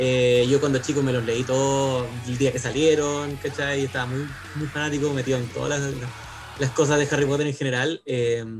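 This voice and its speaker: A man with a Chilean accent, monotone and flat in intonation, at a moderate pace over noticeable background noise. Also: fairly high pitch for a man. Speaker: English teacher. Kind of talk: casual chat.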